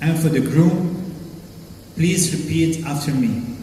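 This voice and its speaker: There is noticeable background noise as a man talks at a very slow pace. His pitch is fairly high, and his intonation stays fairly even. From Lebanese. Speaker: wedding host and MC. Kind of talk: wedding MC hosting, ceremony narration and vow prompting. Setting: live wedding event with microphone.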